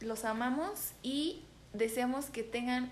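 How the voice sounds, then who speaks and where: A high-pitched woman's voice with fairly even intonation and audible room echo. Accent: Mexican. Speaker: podcast co-host. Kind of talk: casual chat.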